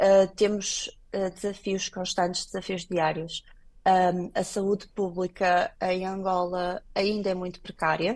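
The pace is very slow. The intonation stays flat and monotone. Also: woman, medium pitch for a woman. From Portugal. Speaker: clinical laboratory director. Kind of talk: radio interview.

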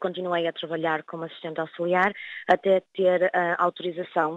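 Her intonation is monotone and flat. The woman talks at a moderate pace with a fairly low pitch. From northern Portugal, Vila do Conde. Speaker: nurse. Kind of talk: interview.

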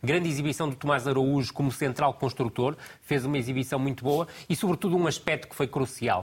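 A man with a fairly high pitch and a somewhat breathy voice talks at a fairly quick pace. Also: ordinary pitch variation. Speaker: football tactical analyst. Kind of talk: TV football analysis panel.

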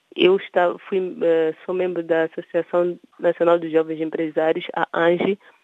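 A woman with a fairly low pitch talks at a fairly slow pace. Her intonation is monotone and flat. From Mozambique, Beira. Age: 30s. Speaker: entrepreneur and children's author. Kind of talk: interview.

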